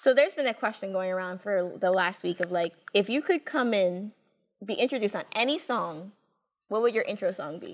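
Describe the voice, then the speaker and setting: Over a silent background in a very clean recording, a woman with a plain, everyday voice speaks at a fairly quick pace, her medium pitch rising and falling in lively intonation. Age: 20s. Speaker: podcast co-host. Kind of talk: casual chat. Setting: studio.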